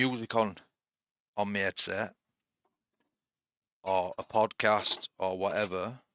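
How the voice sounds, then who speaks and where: A man with a Yorkshire accent, fairly low pitch and a bright, sharp tone, in a flat monotone at a very slow pace with long, frequent pauses. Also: quiet background. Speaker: woodturner. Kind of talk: tutorial. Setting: home workshop shed. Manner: casual, relaxed.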